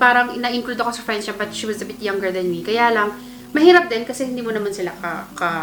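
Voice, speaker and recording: A woman talks at a very fast pace in a fairly high pitch with ordinary pitch variation, over noticeable background noise and audible room echo. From Philippines. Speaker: podcast host. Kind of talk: casual chat.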